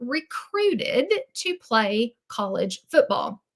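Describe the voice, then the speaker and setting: Speaking in a Southern US accent, a woman has a bright, sharp tone and a high pitch. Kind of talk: sales presentation. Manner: chatty, animated.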